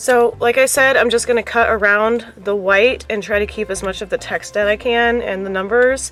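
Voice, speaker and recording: Music plays in the background. The speaker keeps a fairly slow pace. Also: woman. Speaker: craft YouTuber. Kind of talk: casual DIY tutorial. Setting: at home on the floor.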